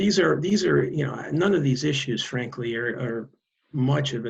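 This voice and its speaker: A man speaks in a somewhat breathy voice. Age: 60s. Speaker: advocacy director for a seniors' organization. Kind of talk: interview.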